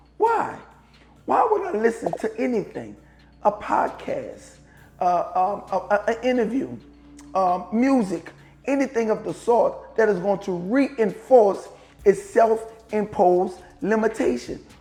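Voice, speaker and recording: The speaker has a New Orleans accent and a fairly slow pace. Long pauses come frequently. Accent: New Orleans pronunciation. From US South, New Orleans. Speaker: podcast host, motivational speaker. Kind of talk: motivational monologue. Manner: animated, rhetorical questions.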